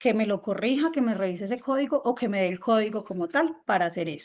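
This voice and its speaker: A woman talks at a fairly quick pace in an ordinary speaking voice with a fairly high pitch and lively intonation. The background is quiet. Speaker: instructor. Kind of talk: online workshop lecture.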